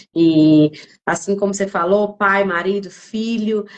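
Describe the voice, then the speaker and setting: A woman talks in a medium pitch. Her pace is fairly slow. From Northeast Brazil, Piauí. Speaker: lawyer and mentor hosting a live stream. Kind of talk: live-stream interview introduction. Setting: live stream from Buenos Aires. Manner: hesitant, many fillers.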